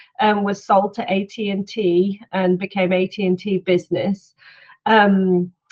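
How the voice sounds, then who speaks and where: A woman with a British accent speaks at a medium pitch and a fairly slow pace, her intonation monotone and flat. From UK. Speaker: head of product marketing. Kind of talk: conference talk.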